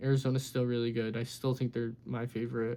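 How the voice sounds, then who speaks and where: The speaker is a man with a medium pitch. His tone is dark and mellow. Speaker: sports YouTuber. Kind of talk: casual sports recap monologue. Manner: fast.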